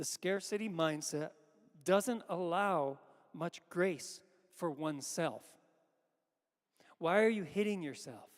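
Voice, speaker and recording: Lively intonation marks this man's high-pitched voice, which moves at a fairly slow pace with a dry, close sound and no echo. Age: 60s. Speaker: pastor. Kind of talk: sermon. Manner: halting.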